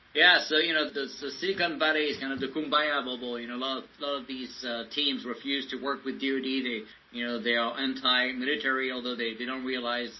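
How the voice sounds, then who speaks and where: Talking at a fairly quick pace with hardly any pauses, a man is heard over noticeable background noise. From France. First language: French. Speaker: tech entrepreneur, former government software chief. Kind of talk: podcast interview. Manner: many fillers and hesitations.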